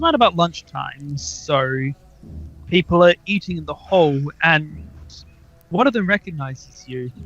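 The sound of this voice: Lively intonation marks a man's speech at a moderate pace. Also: fairly bright tone.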